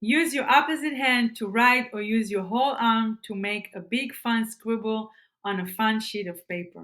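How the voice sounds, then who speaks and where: A woman's fairly high, bright, sharp voice with an Israeli accent, enthusiastic in tone, with ordinary pitch variation at a moderate pace, in a very clean recording against a silent background. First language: Hebrew. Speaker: self-improvement vlogger. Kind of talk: tutorial. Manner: halting, repeats words.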